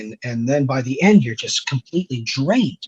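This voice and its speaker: A man with a Canadian accent talks with lively intonation and a fairly high pitch. His voice is somewhat breathy, and the sound is dry and close with no echo. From Canada. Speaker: horror story narrator. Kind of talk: interview. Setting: live stream interview.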